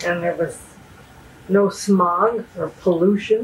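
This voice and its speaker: Speaking at a fairly slow pace, a woman with an American accent sounds somewhat breathy. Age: 80s+. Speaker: interviewee. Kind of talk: interview. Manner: hesitant.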